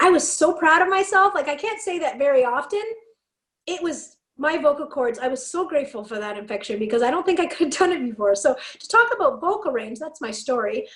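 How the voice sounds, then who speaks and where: Her high-pitched voice swings very widely in pitch as this woman talks in an animated way with a Canadian accent. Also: fairly quick pace, big swings in loudness. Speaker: motivational speaker and punk scene figure. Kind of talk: casual podcast chat.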